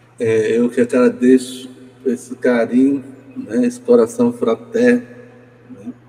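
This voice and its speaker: Medium-pitched male speech, very slow and flat, broken by long, frequent pauses over noticeable background noise. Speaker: poet. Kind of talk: casual chat. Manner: halting.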